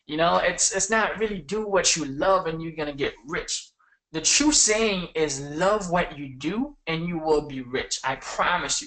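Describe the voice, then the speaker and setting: In a non-native accent, a man with a high pitch speaks at a fairly slow pace in an animated, bright, sharp tone with ordinary pitch variation. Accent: foreign. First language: not English. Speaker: online marketing coach. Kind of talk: webinar.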